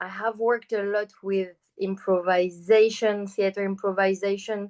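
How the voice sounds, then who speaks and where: Against a quiet background, a woman talks at a fairly slow pace in a medium pitch. Her French accent comes through in a dry, close sound with no echo. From France. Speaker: choreographer and performer. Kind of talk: interview.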